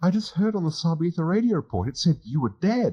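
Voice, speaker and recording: Against a quiet background, a man puts on a squeaky character voice, high-pitched and very fast, with lively intonation. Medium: read story. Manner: prissy, petulant, snappish.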